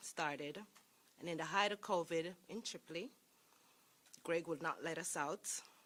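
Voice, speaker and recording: A woman speaks with a Jamaican accent in a fairly low pitch. Her tone is bright and sharp, and her pace is moderate. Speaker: sheriff's deputy. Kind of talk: public speech.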